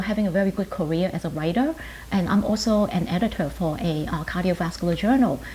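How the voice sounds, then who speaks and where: In a Chinese accent, a woman speaks at a fairly quick pace with a medium pitch, ordinary pitch variation, and a dark, mellow, somewhat breathy tone. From Hong Kong, moved to New York at ten. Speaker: pharmacist and professor. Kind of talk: interview. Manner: hesitant, many fillers.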